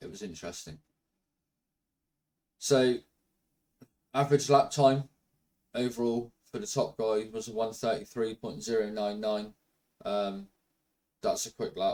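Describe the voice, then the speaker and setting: Fairly slow delivery with long, frequent pauses, big swings in loudness and ordinary pitch variation. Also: man. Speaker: sim racing video creator. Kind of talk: casual commentary over gameplay.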